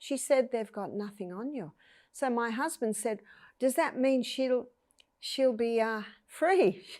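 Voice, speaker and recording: A woman with an Australian accent and a high voice speaks at a fairly slow pace, with ordinary pitch variation and long, frequent pauses. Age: 60s. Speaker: health educator. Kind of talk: interview testimony.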